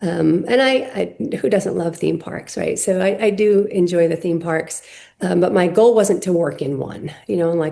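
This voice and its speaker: Speaking with an American accent, a woman uses a fairly low pitch with ordinary variation, moving at a moderate pace with hardly any pauses. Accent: Rhode Island accent, may come out. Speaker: company CEO. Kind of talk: podcast interview.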